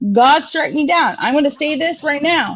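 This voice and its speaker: Loud and high-pitched, a woman speaks. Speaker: caller in a live stream debate, single mother. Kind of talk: heated debate.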